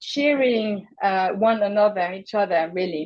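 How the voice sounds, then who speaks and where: Her voice fairly high, a woman speaks with lively intonation. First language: not English. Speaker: mentoring program leader. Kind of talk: onboarding presentation. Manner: halting, many fillers.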